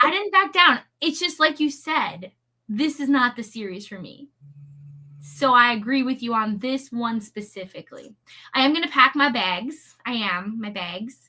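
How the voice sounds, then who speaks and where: An American accent comes through in a bright, sharp tone at a moderate pace. The pitch swings very widely and the loudness rises and falls a lot. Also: woman, high pitch for a woman. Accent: near-Canadian accent, noted on the word bag. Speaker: book youtuber. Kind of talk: casual chat.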